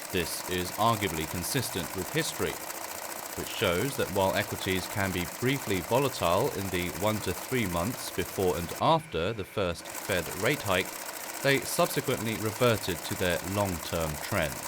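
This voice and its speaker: A man with a British accent, fairly low-pitched, lively in intonation, at a moderate pace amid noticeable background noise. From United Kingdom. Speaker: voice actor. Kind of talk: financial market outlook narration, ASMR style. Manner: soft-spoken, calm.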